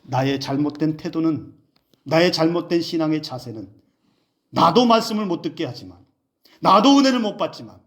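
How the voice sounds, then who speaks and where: A man is talking at a fairly slow pace. His pitch is fairly high. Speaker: pastor. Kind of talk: sermon.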